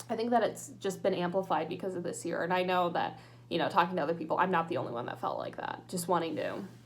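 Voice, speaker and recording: Against noticeable background noise and audible room echo, a woman speaks in a fairly low pitch. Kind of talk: casual vlog, reading a checklist aloud. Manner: casual, hesitant with many fillers.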